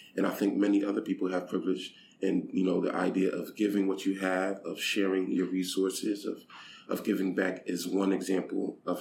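A man keeps a moderate pace as he talks, with noticeable background noise present. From United States, Haitian immigrant. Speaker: aid program director and pastor. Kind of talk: interview. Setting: in person.

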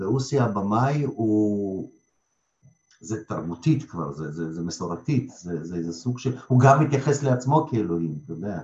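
At a fairly slow pace, a man with a fairly low, somewhat breathy voice makes very wide pitch swings. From Lithuania, Russian-speaking family, moved to Israel at 12. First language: Russian (speaking Hebrew). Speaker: theatre director and acting school head. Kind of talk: interview.

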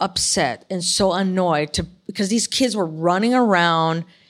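With an American accent, a woman has a normal speaking voice at medium pitch with ordinary pitch variation, recorded very cleanly against a silent background. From Chicago, US Midwest. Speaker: artist and military veteran. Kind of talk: casual interview conversation. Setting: in person, live recording.

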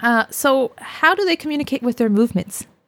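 A woman's plain, everyday voice with a Canadian accent, at a moderate pace with lively intonation, in a dry, close sound with no echo. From Canada, British Columbia (Sunshine Coast). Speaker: music researcher and fiddle musician. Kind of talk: casual interview.

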